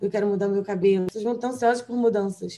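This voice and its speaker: In a medium pitch, a woman speaks with a dark, mellow tone and monotone, flat intonation. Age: 20s. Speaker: fashion stylist and journalist. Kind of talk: casual interview.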